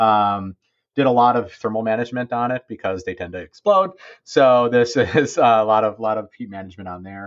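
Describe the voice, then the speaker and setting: Speaking at a moderate pace, a man with a normal speaking voice uses ordinary pitch variation and shows big swings in loudness. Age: 40s. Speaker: engineer. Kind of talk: casual chat.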